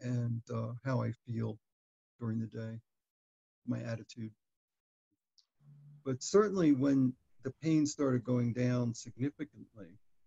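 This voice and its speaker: A man's somewhat breathy, dark, mellow voice at a fairly slow pace, with ordinary pitch variation and long, frequent pauses against a quiet background. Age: 70s. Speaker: chronic back pain patient giving a testimonial. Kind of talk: interview answer. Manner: hesitant, with many fillers. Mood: calm, reflective. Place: home room. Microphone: webcam.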